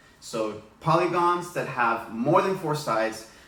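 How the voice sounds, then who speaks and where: Audible room echo and noticeable background noise are present. The man's pitch varies in an ordinary way. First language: Spanish. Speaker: elementary school teacher. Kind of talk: tutorial. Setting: home living room.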